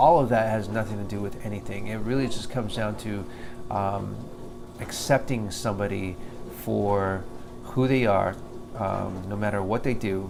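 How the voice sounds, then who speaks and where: A man mumbles at a fairly low pitch, with audible room echo and noticeable background noise. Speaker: vlogger. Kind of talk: video diary monologue. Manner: halting, many fillers; mumbling.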